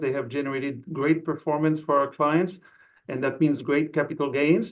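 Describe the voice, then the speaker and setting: In a French accent, a man talks fairly quickly at a fairly high pitch. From France. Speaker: investment executive. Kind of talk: interview.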